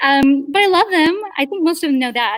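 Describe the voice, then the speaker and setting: The voice moves at a fairly quick pace with lively intonation. The sound is dry and close, with no echo. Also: woman. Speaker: theater director. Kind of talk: panel discussion.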